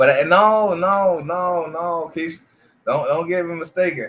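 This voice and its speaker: A man speaks with an American accent. His pitch is high and his pace moderate. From Miami, Florida. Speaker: YouTube channel host. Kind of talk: casual chat. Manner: stammering repetitions.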